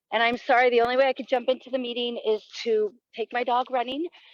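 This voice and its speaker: A woman with a high voice talks at a fairly quick clip. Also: dry, close sound with no echo. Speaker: community school coordinator. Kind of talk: casual chat.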